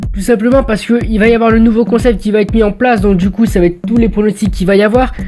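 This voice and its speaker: The speech goes at a very fast pace. Music plays in the background. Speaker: football betting tipster. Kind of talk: casual vlog monologue. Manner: animated.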